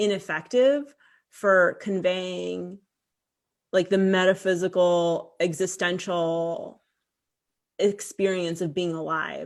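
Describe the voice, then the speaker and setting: Speaking very slowly with long, frequent pauses, a woman of medium pitch uses fairly even intonation in a New York accent against a quiet background. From Queens, New York and Cyprus. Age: 40s. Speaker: author. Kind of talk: conversation. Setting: video call.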